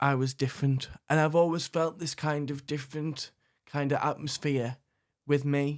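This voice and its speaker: This man's fairly high pitch carries monotone, flat intonation at a moderate pace. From northern England, Sunderland. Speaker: recovering addict. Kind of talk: testimony. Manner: halting, many repetitions.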